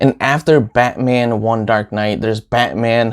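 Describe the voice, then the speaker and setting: In a dry, close recording with no echo, a man at medium pitch speaks very slowly with fairly even intonation. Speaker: comic book YouTuber. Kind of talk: casual review vlog. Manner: stutters.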